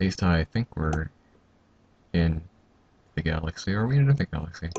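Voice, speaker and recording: A somewhat breathy, quiet voice at a fairly quick pace. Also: man. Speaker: gaming video commentator. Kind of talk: casual gameplay commentary. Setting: home at night. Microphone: mic sounds odd from being quiet.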